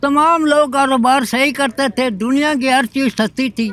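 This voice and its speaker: Here a man speaks at an extremely high pitch. His pitch varies in an ordinary way. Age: 70s. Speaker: member of the public interviewed. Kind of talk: street interview. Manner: animated.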